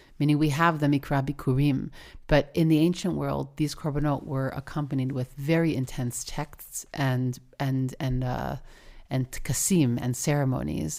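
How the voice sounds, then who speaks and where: On a very clean recording with a silent background, a woman with an American accent speaks at a very deep, low pitch and a moderate pace with fairly even intonation. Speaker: podcast host. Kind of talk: conversational interview.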